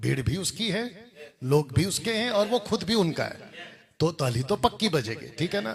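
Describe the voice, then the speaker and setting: Man with a Telangana accent, high pitch, very wide pitch swings. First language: Telugu (speaking Hindi). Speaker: pastor and Bible college teacher. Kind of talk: video commentary rebuttal. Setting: with Bible college students.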